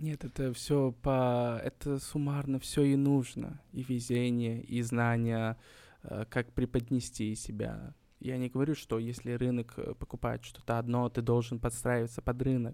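A man's dark, mellow tone with monotone, flat intonation. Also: medium pitch for a man, fairly slow pace. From Uzbekistan, Kokand, Fergana Valley. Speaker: painter. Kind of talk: interview.

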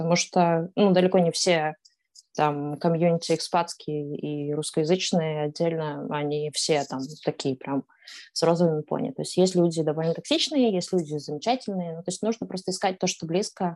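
Set against a quiet background, an unremarkable speaking voice moves at a moderate pace with ordinary pitch variation. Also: woman, fairly low pitch for a woman. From Kazakhstan, Astana. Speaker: blogger. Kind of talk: interview.

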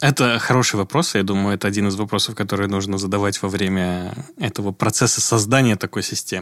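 At a very fast pace, a man with a fairly low pitch speaks with fairly even intonation. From Uzbekistan, Tashkent. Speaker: architect and urbanist. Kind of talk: casual interview. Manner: hesitant, many fillers.

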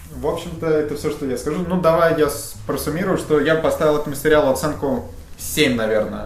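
Fairly quick, fairly high-pitched speech from a man, his intonation fairly even, amid noticeable background noise and audible room echo. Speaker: TV series reviewer. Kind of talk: casual chat. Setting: studio.

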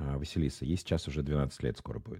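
The tone is dark and mellow, at a moderate pace. The sound is dry and close with no echo, and the background is quiet. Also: man. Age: 40s. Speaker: marketing executive. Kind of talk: casual interview.

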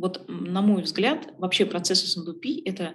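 The woman's voice is somewhat breathy. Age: 30s. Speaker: logistics executive. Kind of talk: interview.

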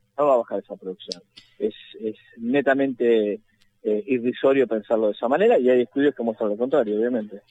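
Speaking at a fairly quick pace, a man uses a plain, everyday voice. His pitch is medium, with ordinary pitch variation. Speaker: road safety activist. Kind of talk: phone interview.

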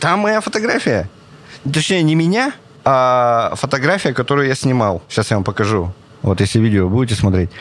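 An animated tone with very wide pitch swings, very even loudness, and long, frequent pauses. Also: man, medium pitch for a man, moderate pace. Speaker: street photographer. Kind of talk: casual interview chat. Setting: planetarium dome.

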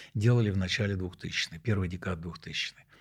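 A man speaks with a fairly low pitch and a somewhat breathy voice, using ordinary pitch variation on a very clean recording with a silent background. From Moscow, Russia. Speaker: professor. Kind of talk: interview. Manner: halting.

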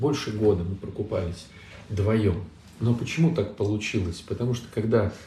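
With lively intonation, a man talks against noticeable background noise. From Saint Petersburg, Russia. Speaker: Orthodox priest. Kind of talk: live online Q&A talk. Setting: online livestream.

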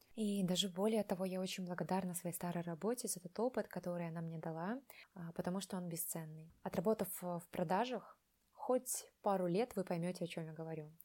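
A woman with a dark, mellow tone speaks at a fairly quick pace with ordinary pitch variation. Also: medium pitch for a woman. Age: 20s. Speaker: artist. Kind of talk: personal story.

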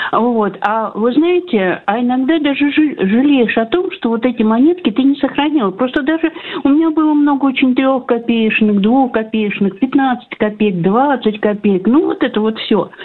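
A woman talks at a moderate pace in a high pitch with lively intonation and very even loudness. Noticeable background noise sits behind her. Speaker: radio caller. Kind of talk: casual phone chat. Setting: phone call. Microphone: line drops out, gaps in sound.

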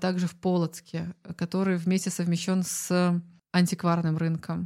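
The woman's voice sits at a fairly low pitch. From Belarus, Zhodzina. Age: 30s. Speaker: food community organizer. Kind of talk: casual chat.

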